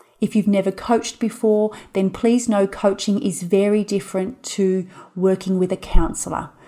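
With an ordinary speaking voice, a woman talks at a moderate pace in a medium pitch, her intonation fairly even. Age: 30s. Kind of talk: solo podcast monologue.

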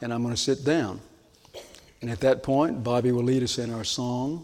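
In audible room echo, a man with medium pitch and fairly even intonation talks at a moderate pace. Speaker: pastor. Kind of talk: sermon.

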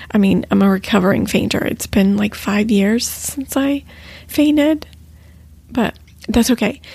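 Her voice is somewhat breathy with a fairly high pitch. This woman's pitch varies in an ordinary way. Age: 40s. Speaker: podcast host. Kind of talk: casual solo podcast monologue. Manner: hesitant with fillers.

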